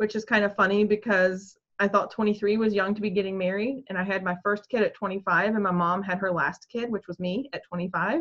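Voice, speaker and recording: At a fairly quick pace with hardly any pauses, a woman with an American accent speaks at a medium pitch with fairly even intonation. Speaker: craft vlogger. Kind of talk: casual chat.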